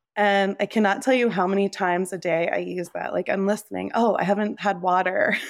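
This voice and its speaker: A woman with a New Jersey accent talks at a medium pitch and a fairly quick pace, with hardly any pauses. Her intonation is fairly even, and the recording is very clean with a silent background. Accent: American (New Jersey). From US Northeast (New Jersey). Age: 30s. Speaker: nonprofit founder. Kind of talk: interview conversation.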